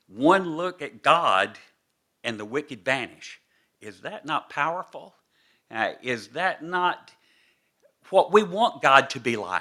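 With an American accent and vocal fry, a man speaks at a very slow pace, his pitch swinging very widely between long, frequent pauses. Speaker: visiting preacher. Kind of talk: sermon. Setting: church.

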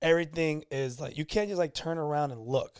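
An unremarkable speaking voice from a man, fairly high-pitched and lively in intonation at a fairly quick pace, on a very clean recording with a silent background. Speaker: podcast host. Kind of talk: casual banter.

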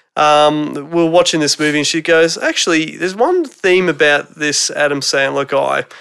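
A man with an Australian accent at a moderate pace. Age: 30s. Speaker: returning podcast guest. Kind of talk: casual chat. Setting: home theatre room.

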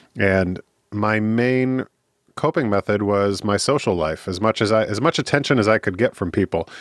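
Recorded dry and close with no echo against a quiet background, a man with a Midwestern US accent talks at a moderate pace in a fairly low pitch with ordinary pitch variation. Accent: US Midwest. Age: 30s. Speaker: podcast guest, recovering drinker and counseling student. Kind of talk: interview conversation.

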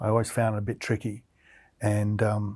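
Recorded very cleanly against a silent background, a man with an Australian accent speaks at medium pitch and a moderate pace in a dark, mellow tone. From central Queensland, Australia. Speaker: artist and art lecturer. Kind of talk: interview conversation.

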